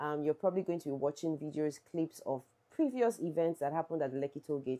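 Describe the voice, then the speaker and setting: Against a quiet background, a woman with a Nigerian accent speaks at a fairly quick pace in a fairly low pitch, her dark, mellow tone showing ordinary pitch variation. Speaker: YouTuber, social issues vlogger. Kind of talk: vlog / protest commentary. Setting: outdoors at a protest. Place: home room.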